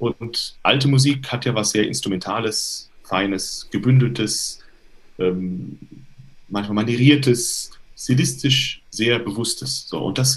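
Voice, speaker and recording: A man talks at a fairly slow pace, at medium pitch. His voice is somewhat breathy, with ordinary pitch variation. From Hesse, Germany (Limburg). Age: 30s. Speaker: tenor and voice professor. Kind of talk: interview. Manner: hesitant with fillers.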